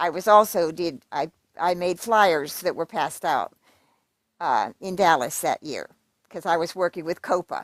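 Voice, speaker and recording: A woman with an American accent speaks at a moderate pace and a fairly low pitch with ordinary pitch variation, in a dry, close sound with no echo on a very clean recording with a silent background. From Pennsylvania. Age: 60s. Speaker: livestreamer. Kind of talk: casual livestream rant. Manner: animated.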